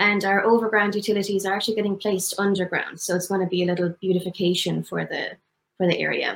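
In an Irish accent, a woman talks at a fairly quick pace and a medium pitch with fairly even intonation. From Tipperary, Ireland. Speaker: dive instructor. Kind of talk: interview promoting business.

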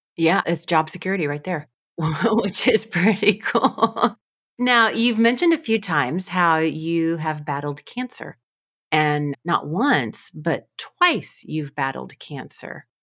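Speaking very slowly, a woman uses a fairly low pitch and lively intonation. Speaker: podcast host and coach. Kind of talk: interview conversation.

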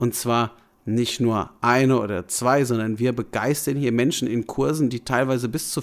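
A man talks at a medium pitch and a moderate pace with fairly even intonation. The recording is very clean, and the background is silent. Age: 30s. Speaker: fitness and nutrition coach. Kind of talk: solo podcast monologue. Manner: casual, somewhat halting with fillers.

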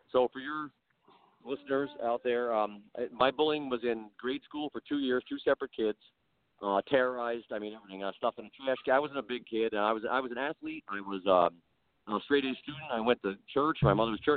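The man has an ordinary speaking voice. He sits at a medium pitch and moves at a fairly quick pace. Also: ordinary pitch variation. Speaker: podcast guest. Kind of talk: casual interview chat.

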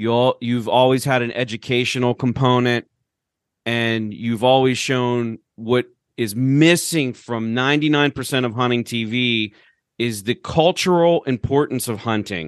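An ordinary speaking voice from a man, medium in pitch with ordinary pitch variation, at a fairly slow pace, dry, close sound with no echo against a quiet background. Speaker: podcast host. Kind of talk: casual chat.

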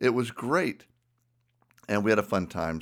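Speaking with a Southern US accent, a man keeps a moderate pace. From US South. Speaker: ministry podcast host. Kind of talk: casual chat; teaching talk.

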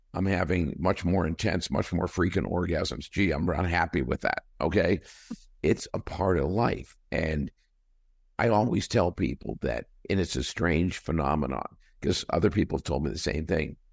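A man speaks with a very deep, low pitch, vocal fry and ordinary pitch variation at a moderate pace. The recording is very clean and silent in the background, dry and close with no echo. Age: 60s. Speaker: company CEO. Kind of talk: interview.

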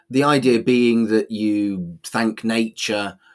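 On a very clean recording with a silent background, a voice with a Manchester accent shows ordinary pitch variation. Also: man. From England. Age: 40s. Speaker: humanist celebrant. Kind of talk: casual chat.

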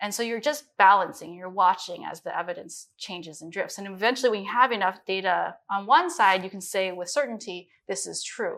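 In a Midwestern accent, the speaker goes at a fairly quick pace with hardly any pauses and big swings in loudness, on a very clean recording with a silent background. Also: woman, medium pitch for a woman, ordinary pitch variation. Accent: American Midwest. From US Midwest (Minnesota, then Chicago). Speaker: chief science officer. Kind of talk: interview.

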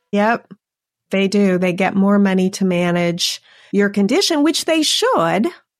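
A plain, everyday voice from a woman at medium pitch, with lively intonation, very even loudness and a fairly slow pace. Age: 50s. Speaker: insurance agent and podcast host. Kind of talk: casual chat.

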